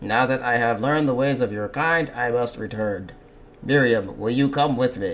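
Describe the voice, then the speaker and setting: A man's put-on character voice at a medium pitch, over clear background noise. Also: moderate pace. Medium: game stream. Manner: stiff, formal.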